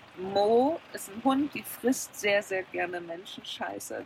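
Noticeable background noise sits behind a woman's voice. She talks at a very slow pace with ordinary pitch variation. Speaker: van-life podcaster. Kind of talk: casual chat. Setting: in a camper van.

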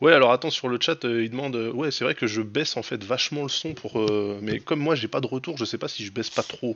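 An ordinary speaking voice from a man, medium-pitched with ordinary pitch variation, at a fairly quick pace. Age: 40s. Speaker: podcast host. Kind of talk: casual chat. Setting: livestream with chat.

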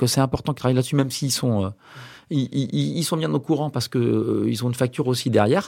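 A man speaks with a dark, mellow tone. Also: very clean recording, silent background. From Brittany, France (Brest). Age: 50s. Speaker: professor and video compression researcher. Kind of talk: interview. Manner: halting, many fillers and repetitions.

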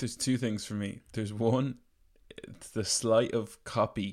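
In an Irish accent, a man speaks at medium pitch with fairly even intonation. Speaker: podcast host. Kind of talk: casual chat.

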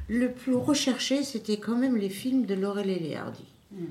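There is audible room echo as a woman speaks at a very slow pace. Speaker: club member. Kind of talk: group discussion.

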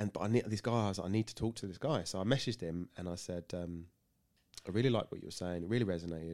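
A man's very deep, low voice with a southern English accent, very fast, with ordinary pitch variation. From Sussex, England. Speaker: wellbeing coach. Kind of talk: casual interview.

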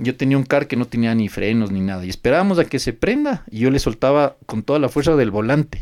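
Very fast and with lively intonation, a man's speech rushes along. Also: medium pitch for a man, hardly any pauses. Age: 40s. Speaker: racing driver. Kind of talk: interview.

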